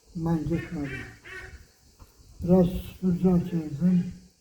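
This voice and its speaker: Speaking at a very slow pace, a man uses a fairly high pitch with monotone, flat intonation. Noticeable background noise is present. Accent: Meskhetian. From Meskhetian Turk (Ahiska). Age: 80s+. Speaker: exile survivor. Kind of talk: oral history interview answer.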